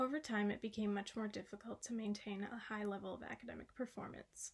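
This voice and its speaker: A woman with an American accent, fairly high in pitch and somewhat breathy, at a fairly quick pace in a flat monotone. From Massachusetts, US. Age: 20s. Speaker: college student. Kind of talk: reading aloud of a class essay.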